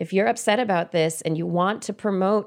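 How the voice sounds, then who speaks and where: Speaking at a fairly quick pace with a medium pitch, a woman is heard on a very clean recording over a silent background. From California Central Valley. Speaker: podcast host, former scientist. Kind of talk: casual chat.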